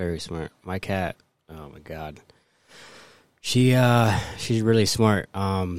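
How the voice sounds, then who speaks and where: A man's voice with fairly even intonation, in a very clean recording against a silent background. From Northern Cheyenne, Montana. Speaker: returning guest. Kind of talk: casual chat.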